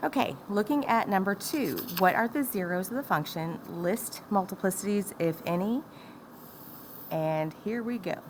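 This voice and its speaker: A woman talks with lively intonation. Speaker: math teacher. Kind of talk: tutorial.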